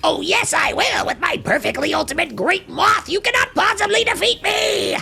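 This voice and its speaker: Someone does a put-on character voice at an extremely high pitch. It sounds strained and moves at a moderate pace. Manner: boastful, theatrical.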